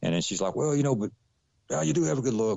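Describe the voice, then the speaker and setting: The speaker is a man. He has a Southern US accent. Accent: Southern country. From US South, Atlanta, Georgia. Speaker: actor. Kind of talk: interview conversation.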